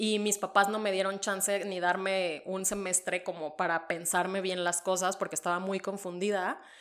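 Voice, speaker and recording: In a very clean recording with a silent background, a woman at medium pitch talks at a moderate pace with hardly any pauses and a monotone, flat intonation. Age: 30s. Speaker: podcast co-host. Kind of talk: casual chat.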